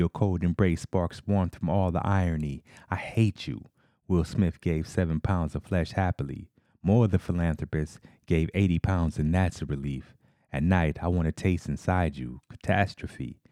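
A man's very deep, low voice with a dark, mellow tone, dry and close with no echo, on a very clean recording with a silent background. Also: ordinary pitch variation, moderate pace. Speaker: poet and podcast host. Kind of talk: poem performed, spoken-word poetry. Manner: rhythmic, punchy spoken-word delivery with hip-hop swagger; candid, conversational between poem and commentary.

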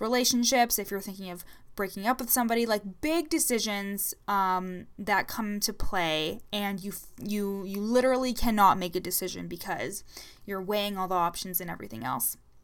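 A woman with an unremarkable speaking voice, medium pitch and ordinary pitch variation, at a moderate pace with big swings in loudness, on a very clean recording with a silent background. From Ontario, Canada. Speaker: leadership coach podcaster. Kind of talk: casual solo podcast monologue. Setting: home recording. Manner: casual, sassy, uses fillers.

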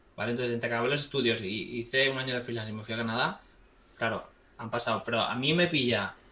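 Intonation stays fairly even. The man speaks at a very fast pace. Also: medium pitch for a man. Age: 20s. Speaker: 3D visual effects artist. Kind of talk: casual interview.

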